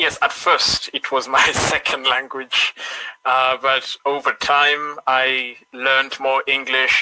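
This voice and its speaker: Very slow speech from a man at medium pitch, bright and sharp in tone, with a dry, close sound and no echo. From Kenya. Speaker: online English tutor. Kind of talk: casual chat. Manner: halting.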